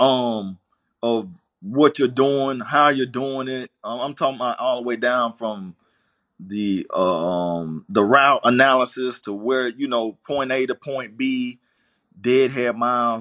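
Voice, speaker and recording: Against a quiet background, a man talks at a very slow pace in a Southern US accent. His medium-pitched voice has a bright, sharp tone and ordinary pitch variation. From US South, Greenville, South Carolina. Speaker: trucking company owner. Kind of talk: interview. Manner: halting, many fillers.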